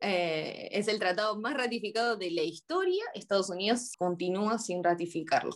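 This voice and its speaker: Delivered at a moderate pace with hardly any pauses and ordinary pitch variation, this is an ordinary speaking voice. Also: woman, medium pitch for a woman. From Argentina, Buenos Aires. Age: 30s. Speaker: psychologist. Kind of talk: interview.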